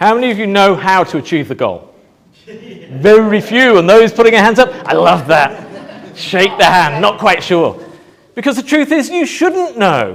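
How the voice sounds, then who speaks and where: A man speaks loudly in a high voice. His pitch swings very widely. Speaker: motivational speaker. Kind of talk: talk to live audience. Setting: stage with audience. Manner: animated.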